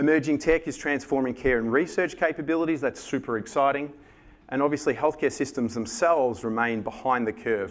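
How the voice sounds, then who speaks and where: Speaking at a very fast pace with an Australian accent, a man uses lively intonation and a fairly high pitch. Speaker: conference speaker. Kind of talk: conference presentation.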